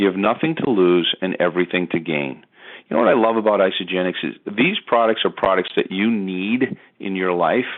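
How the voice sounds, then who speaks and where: Talking at a fairly quick pace, a man uses a very deep, low pitch with ordinary pitch variation. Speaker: network marketing distributor. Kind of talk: sales pitch. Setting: phone call. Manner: fast; animated.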